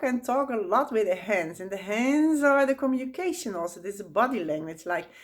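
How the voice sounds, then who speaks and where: A woman with a Dutch accent speaks at a fairly high pitch. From Netherlands. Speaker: spiritual teacher. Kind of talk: tutorial. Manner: halting.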